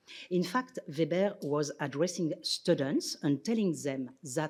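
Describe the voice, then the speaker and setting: In a French accent, a woman speaks very slowly at a fairly low pitch, with very wide pitch swings. The recording is very clean and the background silent. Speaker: sociologist and philosopher, visiting scholar. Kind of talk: lecture. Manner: formal.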